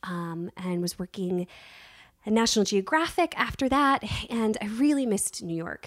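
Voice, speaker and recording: A woman with an American accent uses a normal speaking voice, lively intonation and a fairly high pitch at a moderate pace, the sound dry and close with no echo. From Virginia, US. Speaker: casting director. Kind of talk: casual interview chat.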